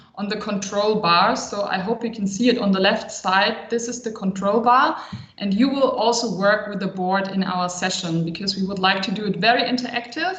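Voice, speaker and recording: Room echo is audible and background noise is noticeable. Over it, a woman with a fairly high pitch talks at a fairly quick pace with fairly even intonation. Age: 30s. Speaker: consultant and psychologist. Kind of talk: online workshop.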